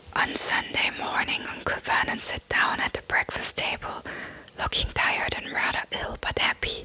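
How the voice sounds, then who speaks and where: Someone whispers at a moderate pace over noticeable background noise. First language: German. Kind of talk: ASMR book reading. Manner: whispered.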